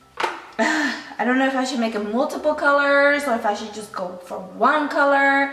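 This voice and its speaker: A woman talks with a high pitch and ordinary pitch variation. Music plays in the background. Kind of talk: casual talk to camera.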